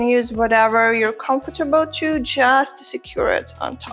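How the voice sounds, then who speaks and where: Noticeable background noise surrounds a woman speaking. Her pitch is high, with ordinary variation. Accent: non-native. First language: not English. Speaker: beauty YouTuber. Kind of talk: tutorial.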